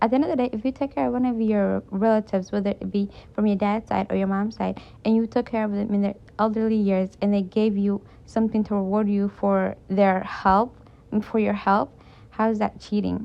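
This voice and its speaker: A woman with a non-native accent, a dark, mellow tone, medium pitch, fairly even intonation and a fairly quick pace. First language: not English. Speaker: reddit story reader. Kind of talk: reading aloud with commentary. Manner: casual, conversational asides.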